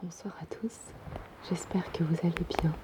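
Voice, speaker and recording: Someone whispers in a soft-spoken way. Noticeable background noise is present. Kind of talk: ASMR reading. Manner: soft-spoken, whispered.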